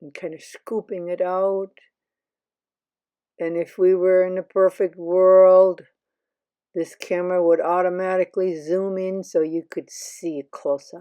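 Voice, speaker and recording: A woman's dark, mellow voice, dry and close with no echo, on a very clean recording with a silent background, flat and monotone in intonation, with big swings in loudness at a fairly slow pace. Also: medium pitch for a woman. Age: 70s. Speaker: home dog groomer and video creator. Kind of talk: voiceover narration of grooming video. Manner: casual, chatty with fillers.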